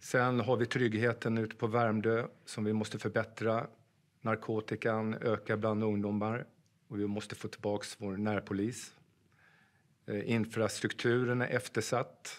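A man speaks at a fairly slow pace in a flat monotone over a quiet background. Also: medium pitch for a man. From Sweden, Gästrikland (Sandviken); Gästrikland, Sweden. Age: 50s. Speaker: police officer and political candidate; candidate. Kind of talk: campaign pitch. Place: studio.

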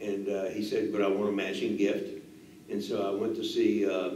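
A man's speech carries audible room echo along with light background noise. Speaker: interviewee. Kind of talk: interview answer.

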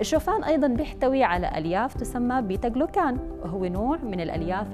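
The pace of this woman's speech is moderate. Behind her, clear music can be heard. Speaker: presenter. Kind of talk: informative TV segment. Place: studio. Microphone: lapel.

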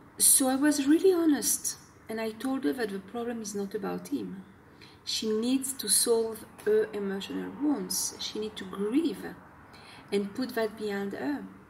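With a French accent, a woman with a fairly high pitch speaks at a fairly slow pace with lively intonation over light background noise. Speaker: self-help video blogger. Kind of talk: talking-head advice video. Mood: earnest, explanatory. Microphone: phone near.

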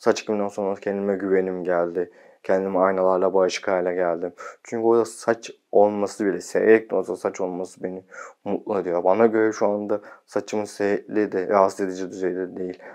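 In a quiet setting, a man with a fairly low pitch talks fairly quickly in a monotone, flat delivery. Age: 30s. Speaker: video blogger. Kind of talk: casual vlog talk. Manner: sometimes fast. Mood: calm, content. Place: home room. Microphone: lapel.

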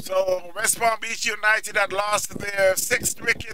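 A man's high-pitched, monotone, flat delivery at a fairly slow pace, with noticeable background noise. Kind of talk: live cricket commentary. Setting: outdoors at cricket ground, live broadcast. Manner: relaxed, friendly, warm sign-off tone.

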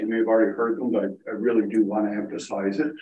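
A man talks at a very fast pace. There is audible room echo. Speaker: municipal finance official. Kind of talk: council meeting report. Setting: council chambers, also on Zoom. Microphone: video call.

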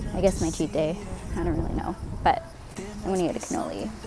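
Over clear background music, a woman speaks with ordinary pitch variation in a dry sound with no echo. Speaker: vlogger. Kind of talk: casual vlog chat. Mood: relaxed, cheerful. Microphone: earbuds.

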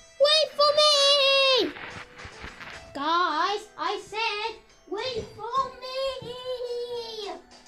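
A squeaky, extremely high-pitched put-on character voice at a very slow pace, broken by long, frequent pauses, with music in the background. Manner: calling out, pleading, hurrying after others.

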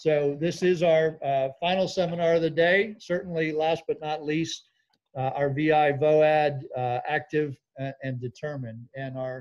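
A man speaks at a fairly slow pace. His intonation is fairly even, and the background is quiet. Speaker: seminar host. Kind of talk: event welcome and housekeeping. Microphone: video call.

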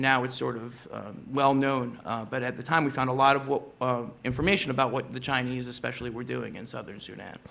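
A man with an unremarkable speaking voice talks at a moderate pace. His pitch sits in the medium range, and his intonation is fairly even. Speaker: journalist. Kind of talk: panel discussion. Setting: conference stage with audience.

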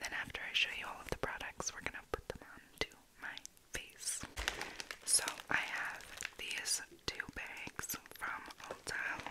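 The speaker is a woman who whispers, taking her time at a fairly slow pace. Pauses are long and come often. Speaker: beauty and ASMR YouTuber. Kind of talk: casual talk to camera, makeup haul. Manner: soft, whispery, casual. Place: home room. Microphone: studio mic.

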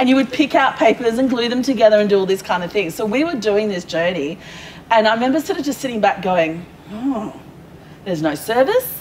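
With an Australian accent, a woman speaks at a fairly quick pace with lively intonation against light background noise. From Perth, Western Australia; Western Australia. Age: 40s. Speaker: small business owner; guest. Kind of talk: casual interview. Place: hall.

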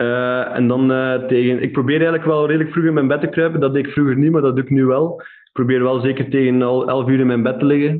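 A man at a very fast pace, with monotone, flat intonation. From Flanders, Belgium. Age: 20s. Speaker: entrepreneur; podcast guest. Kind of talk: interview. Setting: remote recording. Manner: hesitant, many fillers. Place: home room.

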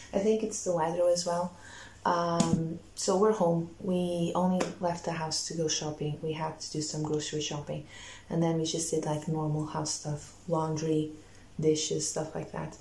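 A woman speaks with a very deep, low pitch and monotone, flat intonation. Audible room echo and light background noise surround her voice. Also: moderate pace. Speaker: booktuber vlogger. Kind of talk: casual vlog talk to camera. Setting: at home. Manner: quiet, hushed at night. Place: home room. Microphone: phone near.

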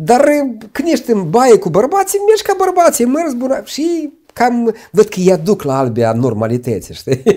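With quiet all around, the words come at a fairly slow speed. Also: man. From Moldova. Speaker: lawyer and law professor; lawyer, law professor. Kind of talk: interview. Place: studio. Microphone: lapel.

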